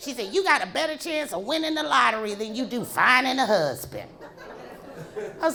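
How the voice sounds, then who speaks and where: A raised, projected voice with very wide pitch swings at a moderate pace, amid noticeable background noise and audible room echo. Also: woman. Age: 60s. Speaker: stand-up comedian. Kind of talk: stand-up. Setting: stage with audience.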